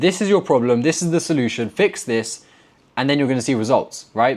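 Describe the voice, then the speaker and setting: A man at a medium pitch and a fairly quick pace, with ordinary pitch variation. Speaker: forex trader and trading mentor. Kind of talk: tutorial. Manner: fast; blunt, direct.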